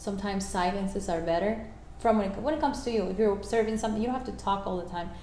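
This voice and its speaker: A woman speaks with a Spanish accent at medium pitch and ordinary pitch variation. The recording has audible room echo and noticeable background noise. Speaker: life coach. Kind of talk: interview. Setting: at home.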